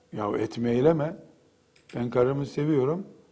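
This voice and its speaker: Over audible room echo, a man's fairly high, somewhat breathy voice has a dark, mellow tone and lively intonation. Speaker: Islamic preacher. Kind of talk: lecture.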